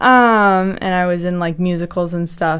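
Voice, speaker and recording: Her intonation fairly even, a woman speaks with a North Carolina accent. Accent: American (North Carolina). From US South, North Carolina. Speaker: graduate student, science communication. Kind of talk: casual interview chat. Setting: studio.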